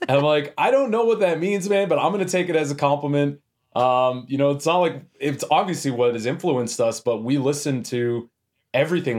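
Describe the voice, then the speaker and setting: Very fast, lively-toned speech from a fairly high-pitched man on a very clean recording against a silent background. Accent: western Canadian. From Canada, Edmonton, Alberta. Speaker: metal band vocalist. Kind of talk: casual interview chat. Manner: animated, casual.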